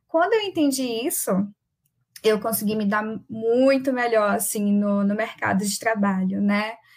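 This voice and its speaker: A woman with a fairly high pitch talks fairly slowly, her somewhat breathy delivery showing ordinary pitch variation. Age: young. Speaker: agile coach and moderator. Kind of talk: casual panel chat.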